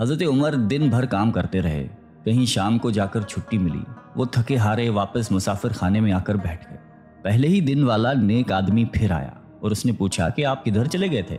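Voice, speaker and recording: Over music in the background, a man speaks at medium pitch with lively intonation. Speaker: narrator. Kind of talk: religious story narration.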